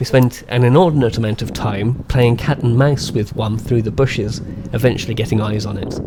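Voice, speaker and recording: The speaker has a West Midlands accent and a fairly quick pace. Noticeable background noise can be heard. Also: man, medium pitch for a man. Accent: West Midlands English, stronger when excited. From England, West Midlands. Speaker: birding vlogger. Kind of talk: scripted narration with vlog segments.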